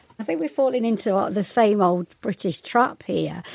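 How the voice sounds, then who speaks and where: A woman with an East Midlands accent, medium pitch, lively intonation and a fairly quick pace. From East Midlands, England. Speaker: sociology lecturer. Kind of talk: radio panel discussion.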